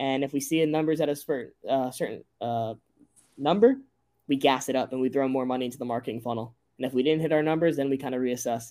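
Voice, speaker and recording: In an American accent, a man speaks at a very fast pace in a medium pitch with a dark, mellow tone and fairly even intonation, on a very clean recording with a silent background. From US Northeast, rural Connecticut. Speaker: company founder. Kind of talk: interview.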